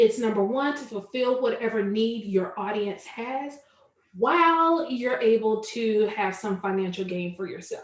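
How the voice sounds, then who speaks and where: Speaking in a Southern US accent, a woman talks at a fairly slow pace. Her pitch is fairly high, with ordinary variation. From US South, Charlotte, North Carolina. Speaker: online business coach. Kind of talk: webinar tutorial.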